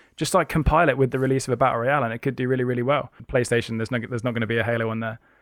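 Rushing at a very fast pace with hardly any pauses, a man of medium pitch keeps a fairly even intonation. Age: 20s. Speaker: streamer and content creator. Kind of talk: interview. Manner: casual, with many fillers.

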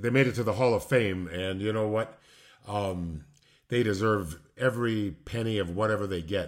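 The speaker has an American accent, a moderate pace and ordinary pitch variation. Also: man, fairly low pitch for a man. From Illinois, Chicago area. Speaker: retired pro wrestler and poet. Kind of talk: casual interview chat.

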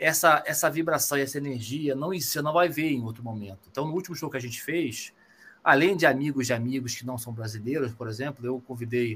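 A man speaks at a fairly quick pace with a medium pitch. His voice is somewhat breathy, and his pitch varies in an ordinary way. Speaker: bass player in rock band. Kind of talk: casual interview.

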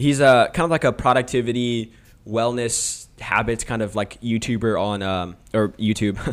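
Recorded very cleanly against a silent background, a man with an American accent talks at a moderate pace and medium pitch. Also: ordinary pitch variation. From California, Sacramento area. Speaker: YouTuber and church social media manager. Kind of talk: casual interview chat.

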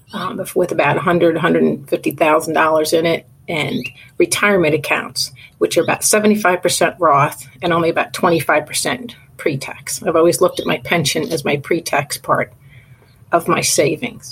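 This woman has an American accent and a fairly low pitch with ordinary variation. She speaks at a fairly slow pace and sounds somewhat breathy. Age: 50s. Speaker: caller. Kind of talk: recorded voicemail question.

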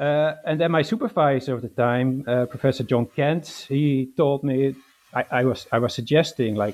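Here a man talks with a Dutch accent. His pitch sits in the medium range. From Netherlands. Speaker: historian. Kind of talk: interview. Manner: hesitant, with fillers.

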